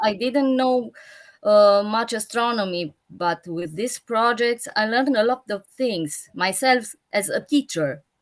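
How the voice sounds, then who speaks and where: A woman speaks with a non-native accent. Her pace is fairly slow and her intonation lively. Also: fairly high pitch for a woman. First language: not English. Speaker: school teacher. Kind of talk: panel discussion. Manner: halting, searching for words.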